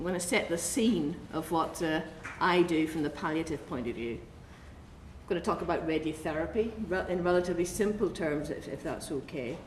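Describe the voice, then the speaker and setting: A woman with a fairly low pitch talks with hardly any pauses, with audible room echo and noticeable background noise. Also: ordinary pitch variation, moderate pace. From Northern Ireland (Belfast). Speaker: oncologist. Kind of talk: conference talk.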